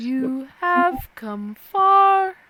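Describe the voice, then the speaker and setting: The pitch here is extremely high. It is a put-on character voice. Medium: actual play. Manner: calm, measured.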